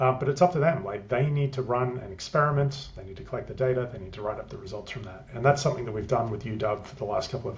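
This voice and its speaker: Speaking with an Australian accent, a man uses a medium pitch, ordinary pitch variation and a somewhat breathy sound. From Australia, country Queensland. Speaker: tech business development lead. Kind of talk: interview. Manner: hesitant, many fillers.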